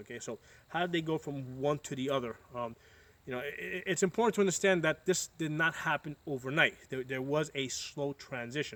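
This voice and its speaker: Spoken at a fairly quick pace in an American accent, the speech has ordinary pitch variation and comes through a very clean recording with a silent background. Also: man. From United States. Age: 40s. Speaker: political commentator vlogger. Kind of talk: casual monologue. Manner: halting, many fillers and repetitions.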